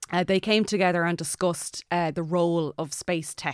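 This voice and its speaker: A woman with a western Irish accent talks in a fairly low pitch and fairly even intonation, with a dry, close sound free of echo on a very clean recording over a silent background. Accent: Irish, west of Ireland. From Ireland, County Mayo. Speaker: aeronautical engineer and astronaut candidate. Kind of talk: casual interview. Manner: hesitant, many fillers.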